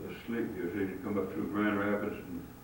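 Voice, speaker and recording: A man's fairly low, monotone, flat delivery amid noticeable background noise. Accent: Midwestern American. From Hinsdale, Illinois. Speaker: photographer and former newspaper publisher. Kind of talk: oral history interview answer.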